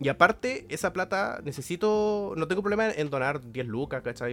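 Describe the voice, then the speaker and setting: A man with a Chilean accent speaks at a fairly quick pace. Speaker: podcast co-host. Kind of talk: casual chat.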